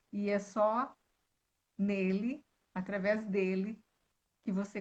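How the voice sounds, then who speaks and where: Somewhat breathy, the voice moves at a very slow pace with a strong gaúcho accent. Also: woman. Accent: gaúcho, southern Brazilian, still strong. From Rio Grande do Sul, southern Brazil. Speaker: author and speaker on women's identity. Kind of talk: live-stream interview. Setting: online live stream. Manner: elegant, refined.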